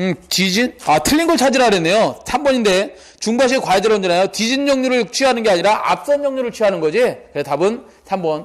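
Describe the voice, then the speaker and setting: The intonation is lively and the pace very fast. Noticeable background noise runs underneath. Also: man, high pitch for a man. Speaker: exam prep lecturer. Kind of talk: lecture. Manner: rhetorical questions, conversational.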